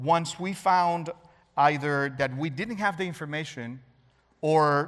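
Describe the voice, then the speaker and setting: There's a man with a Spanish accent, his pitch showing ordinary variation. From Cuba. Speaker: cybersecurity expert. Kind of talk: talk to an audience.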